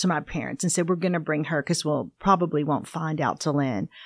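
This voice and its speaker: A woman with an unremarkable speaking voice talks at a fairly low pitch with ordinary pitch variation, the sound dry and close with no echo against a quiet background. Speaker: pastor's wife, adoptee. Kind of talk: personal testimony in casual interview.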